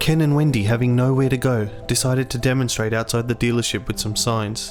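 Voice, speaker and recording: Music plays in the background while a man speaks at a fairly quick pace. His medium pitch stays fairly even in intonation. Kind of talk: documentary narration.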